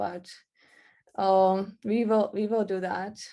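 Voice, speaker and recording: The voice carries a non-native accent and a dark, mellow tone. Its intonation stays fairly even. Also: woman. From Czech Republic. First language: Czech. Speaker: marketing workshop presenter. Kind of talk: online workshop presentation. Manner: halting, with repetitions.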